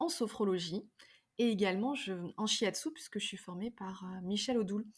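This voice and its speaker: Somewhat breathy, the voice carries lively intonation. Its pace is moderate. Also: woman. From France, Drôme and Ardèche. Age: 40s. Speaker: yoga teacher and wellness practitioner. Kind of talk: podcast interview. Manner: hesitant, many fillers and repetitions.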